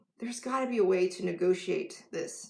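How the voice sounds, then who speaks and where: This is a woman with a medium pitch. Her voice is somewhat breathy. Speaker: life coach. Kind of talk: live stream talk to camera.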